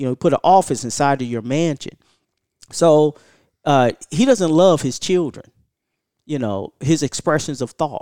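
A man with a fairly high pitch and a dark, mellow tone talks at a fairly slow pace with long, frequent pauses and ordinary pitch variation, recorded very cleanly against a silent background in a dry, close sound with no echo. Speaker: martial arts school head and instructor. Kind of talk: casual podcast interview. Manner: laughs often.

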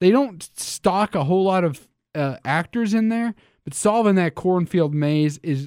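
Over a silent background in a very clean recording, a man with a high voice speaks fairly slowly in an upbeat, animated tone. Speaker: radio host. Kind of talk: radio DJ patter, live sports talk radio opening. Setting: radio studio, live broadcast. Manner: upbeat, animated, bantering, rambling with self-interruptions.

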